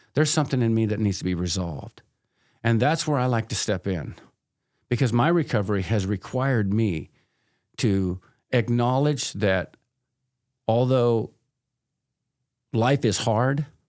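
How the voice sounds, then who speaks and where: Recorded very cleanly against a silent background, the speech holds very even loudness and ordinary pitch variation at a moderate pace, with long, frequent pauses. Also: man, medium pitch for a man. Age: 60s. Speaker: addiction counselor. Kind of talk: casual interview chat. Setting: podcast recording.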